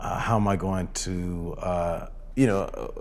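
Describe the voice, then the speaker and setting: The voice has an American accent, with audible room echo and noticeable background noise. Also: man. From Southern California (Rancho Cucamonga). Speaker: dancer and choreographer. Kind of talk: casual interview. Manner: halting, many fillers.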